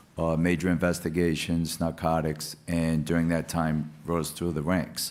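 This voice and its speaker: A man speaks with a very deep, low pitch and monotone, flat intonation. He talks at a fairly slow pace. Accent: Rhode Island. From Rhode Island (Providence). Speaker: police official, government office head. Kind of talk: panel discussion.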